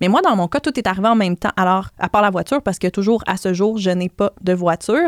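A woman with a normal speaking voice talks at a fairly quick pace in a medium pitch with fairly even intonation. The recording is very clean and dry, close with no echo and a silent background. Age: 30s. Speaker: blogger and personal finance author. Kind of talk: podcast interview.

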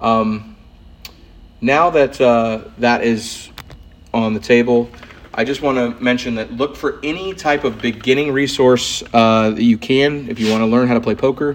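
A man talks at a fairly slow pace in a normal speaking voice, his pitch medium. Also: ordinary pitch variation. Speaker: poker podcast host. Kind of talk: poker hand analysis; solo podcast monologue. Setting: recording at wife's hair salon.

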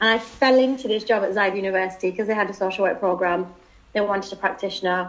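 In a British accent, a woman speaks at medium pitch with fairly even intonation. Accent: British, noticeable. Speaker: PhD student and contributing author.

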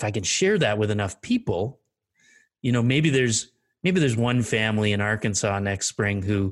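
A man with a Canadian accent, fairly low in pitch and very fast, on a very clean recording with a silent background. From eastern Canada. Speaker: storm chaser and photographer. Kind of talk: casual interview, storytelling. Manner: relaxed, laughs often.

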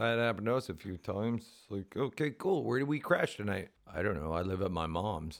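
Using a plain, everyday voice, a man with a fairly low pitch talks at a fairly quick pace with lively intonation and hardly any pauses. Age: middle-aged. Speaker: podcast co-host and touring punk musician. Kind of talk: casual chat.

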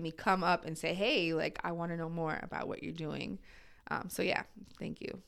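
Over a very clean recording with a silent background, a woman with an American accent talks at a very fast pace in a fairly low pitch with vocal fry. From New Jersey suburbs. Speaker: church staff coordinator and social services worker. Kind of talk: casual interview conversation.

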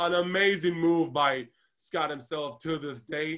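A man speaks with an Israeli accent. His pitch is high. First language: Hebrew. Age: 30s. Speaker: wrestling podcast co-host. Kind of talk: casual review chat.

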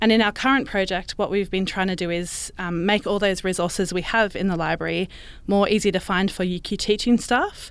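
A woman with an Australian accent and a medium pitch talks at a fairly quick pace with fairly even intonation. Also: very clean recording, silent background. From Brisbane, Australia. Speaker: librarian. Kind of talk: interview.

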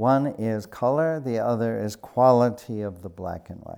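In a very clean recording with a silent background, a man with an American accent and a dark, mellow tone speaks at medium pitch with ordinary pitch variation and a fairly slow pace. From US Midwest, Chicago South Side. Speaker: retired art history professor. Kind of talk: interview. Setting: gallery.

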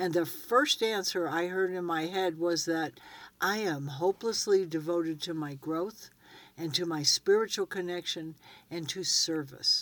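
In a very clean recording with a silent background, a woman speaks in a normal speaking voice at a moderate pace, her pitch fairly low. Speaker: co-host and ranch barn manager.

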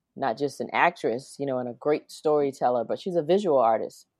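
A woman speaks with a South Carolina accent. Her pitch is very deep and low. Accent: Southern US (South Carolina). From US South, South Carolina. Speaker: singer and musician. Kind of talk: interview.

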